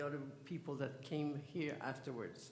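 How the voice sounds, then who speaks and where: A man with a French accent speaks at a fairly high pitch amid audible room echo. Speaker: theosophical society official introducing speaker. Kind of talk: event introduction speech. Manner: halting, hesitant.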